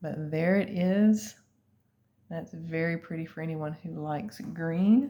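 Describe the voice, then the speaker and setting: In a quiet setting, a woman speaks at a fairly low pitch with a dark, mellow tone. Her pace is fairly slow and her pitch variation ordinary. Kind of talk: sales presentation. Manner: casual, hesitant with fillers; lower, quieter voice.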